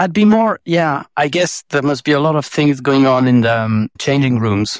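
A man speaks with a French accent at a fairly high pitch, with ordinary pitch variation. He hardly pauses, and the sound is dry and close with no echo. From France. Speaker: advertising agency president. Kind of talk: casual interview chat.

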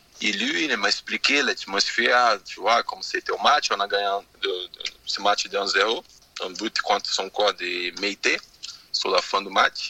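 Noticeable background noise runs under a dry, close sound with no echo. A man talks at a very slow pace. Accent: Portuguese. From Brazil. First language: Portuguese (speaking French). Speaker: former footballer. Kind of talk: radio interview. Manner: halting, frequent 'tu vois'.

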